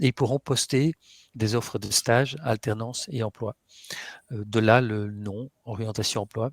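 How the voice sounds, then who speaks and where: Speaking at a medium pitch and a fairly slow pace, a man uses ordinary pitch variation in a dry, close sound with no echo. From Flanders, Belgium. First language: Dutch (speaking French). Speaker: webinar host. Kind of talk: webinar introduction. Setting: online webinar. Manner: hesitant, many fillers.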